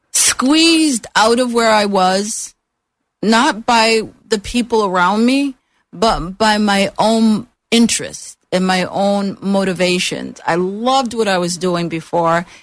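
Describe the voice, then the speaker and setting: Against a quiet background, a woman with an American accent speaks very slowly at medium pitch, with very even loudness and ordinary pitch variation. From Upstate New York (Utica). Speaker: business consultant and trainer. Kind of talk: radio interview.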